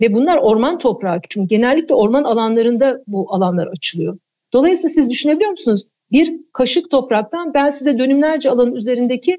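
Her tone dark and mellow, a woman speaks at a fairly quick pace in a high pitch that swings very widely. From Turkey, Eskişehir. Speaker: environmental foundation chair. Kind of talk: radio interview.

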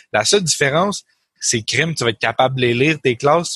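The tone is bright and sharp, with a Quebec accent and ordinary pitch variation. Delivery is at a moderate pace, and the sound is dry and close with no echo. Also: man. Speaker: co-host, programmer. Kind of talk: casual technical discussion.

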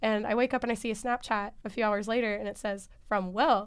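With a normal speaking voice, a woman talks at a fairly quick pace and fairly high pitch, her intonation fairly even against a quiet background. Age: young. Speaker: student storyteller. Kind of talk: interview storytelling.

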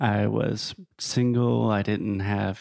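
With an American accent, a man talks in an unremarkable speaking voice, his pitch fairly low and his intonation fairly even. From US South. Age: 30s. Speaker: podcaster and entrepreneur. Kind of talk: casual interview chat.

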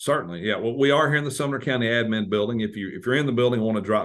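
With a Tennessee accent, a man of medium pitch speaks at a very fast pace with lively intonation. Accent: Tennessee Southern American. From US South, Tennessee (Madison, near Nashville). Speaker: congressional staff member. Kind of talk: interview.

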